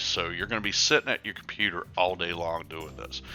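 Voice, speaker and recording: Music plays behind a man with an American accent whose very deep, low voice shows ordinary pitch variation. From USA. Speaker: gaming tutorial youtuber. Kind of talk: tutorial. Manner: halting, many fillers.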